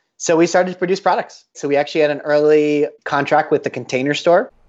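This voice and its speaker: A man with an American accent talks at a fairly quick pace in a normal speaking voice. His pitch sits fairly high, with ordinary variation. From Colorado, US. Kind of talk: interview.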